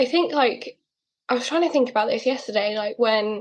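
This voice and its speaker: A woman speaks with a British accent. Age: 20s. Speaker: person with a rare condition, model. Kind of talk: interview. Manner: casual, hesitant with fillers.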